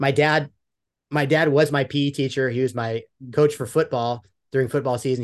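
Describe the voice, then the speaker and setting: A man speaks at a moderate pace with fairly even intonation in a plain, everyday voice. The background is quiet. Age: 50s. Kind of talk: casual chat.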